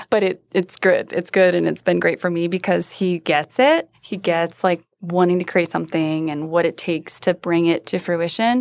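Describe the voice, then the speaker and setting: A woman with an American accent speaks at a moderate pace with hardly any pauses, her pitch fairly low and her intonation fairly even. It is a normal speaking voice, in a very clean recording with a silent background. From US Midwest, rural Iowa. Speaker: startup founder and CEO. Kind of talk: interview. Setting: studio.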